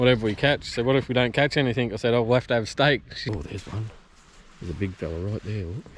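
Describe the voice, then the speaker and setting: A man with an Australian accent talks at a very fast pace, his medium-pitched voice showing ordinary pitch variation. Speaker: fishing vlogger. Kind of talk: casual outdoor vlog commentary. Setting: outdoors by a creek. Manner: hushed, trying to be quiet.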